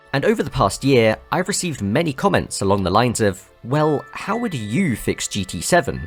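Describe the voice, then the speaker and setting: A man's voice with music in the background. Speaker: racing game video essayist. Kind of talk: video essay narration.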